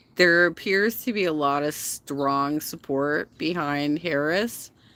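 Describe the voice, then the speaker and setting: A woman's very deep, low-pitched voice with a bright, sharp tone at a very slow pace, on a very clean recording with a silent background. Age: 50s. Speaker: reaction commentator. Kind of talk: casual livestream chat. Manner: animated.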